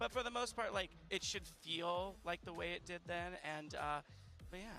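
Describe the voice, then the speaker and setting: A man speaks at a moderate pace with a high pitch. His intonation is lively, and music plays in the background. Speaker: game executive producer. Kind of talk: casual interview. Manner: hesitant with fillers.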